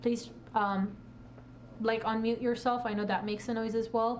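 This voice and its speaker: This woman speaks at a fairly quick pace in a fairly high pitch. Audible room echo surrounds her voice. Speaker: presenter at a tech meetup. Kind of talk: lecture. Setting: live stream to Discord audience. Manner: fast.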